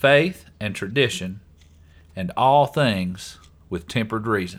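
The recording is very clean, with a silent background. On it, a man talks at a very slow pace. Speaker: podcast host. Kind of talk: casual chat. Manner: joking.

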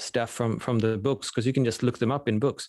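The background is quiet. A man with a Swedish accent speaks with ordinary pitch variation. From Sweden. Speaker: professor of entrepreneurship. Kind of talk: casual interview chat.

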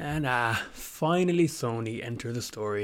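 This voice belongs to a man. It sits at a medium pitch. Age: 30s. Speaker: podcast host. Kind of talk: solo monologue on gaming history. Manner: hesitant, many fillers.

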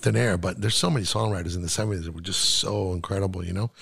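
A man's somewhat breathy voice, fairly low in pitch with ordinary pitch variation and a very fast pace, on a very clean recording with a silent background. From South Florida (Miami), born in Chile. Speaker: mix engineer. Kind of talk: casual interview. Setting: studio.

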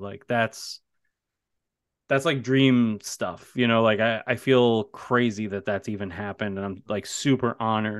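A man talks at a fairly slow pace, his medium pitch showing ordinary variation. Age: 30s. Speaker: horror author and teacher. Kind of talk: casual chat. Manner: animated.

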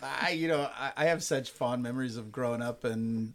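A man talks at a moderate pace with an American accent. His medium-pitched voice is a plain, everyday voice. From California, Bakersfield. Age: 40s. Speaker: pastor. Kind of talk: casual chat. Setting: studio.

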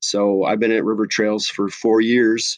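With an Upper Midwest accent, a man speaks in a monotone, flat voice at fairly low pitch, with a dry, close sound with no echo and a quiet background. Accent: Upper Midwest American. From US Midwest (La Crosse, Wisconsin). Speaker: special education teacher. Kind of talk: interview. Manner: many filler words, hesitant.

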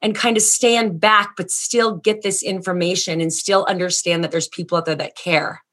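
A woman speaks at a moderate pace with ordinary pitch variation. Hers is a normal speaking voice. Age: 40s. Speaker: podcast host, education and mental health consultant. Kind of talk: casual interview. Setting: video call.

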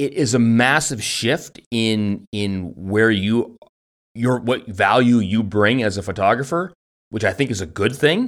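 Using an unremarkable speaking voice, a man talks at a fairly slow pace and medium pitch with ordinary pitch variation. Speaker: podcast host. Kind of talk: casual banter then interview. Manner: joking, playful.

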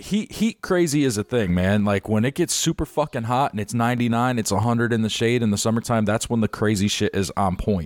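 In an American accent, a man with an ordinary speaking voice talks at a medium pitch and fairly quick pace with hardly any pauses and very even loudness, in a very clean, dry and close recording with no echo and a silent background. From Chicago. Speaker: podcast host. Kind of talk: casual chat.

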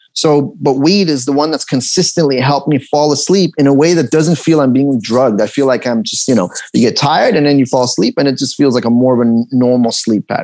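A man talks very fast at a fairly high pitch. His loudness stays very even over noticeable background noise. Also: ordinary pitch variation. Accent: Los Angeles. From Los Angeles, US (from Tehran, Iran, moved at eight). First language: Persian. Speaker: actor and comedian. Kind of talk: casual interview.

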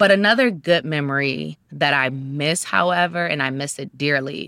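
On a very clean recording with a silent background and a dry, close sound with no echo, a woman with an American accent speaks in a very deep, low voice with a bright, sharp tone. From US Midwest, Cleveland, Ohio. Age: 30s. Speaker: social worker and crime survivor advocate. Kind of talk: interview, personal testimony.

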